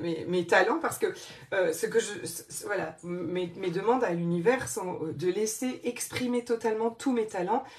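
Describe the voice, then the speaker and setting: With noticeable background noise behind her, a woman speaks at a moderate pace and medium pitch, her intonation lively and her tone animated. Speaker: life coach. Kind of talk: live stream chat with viewers.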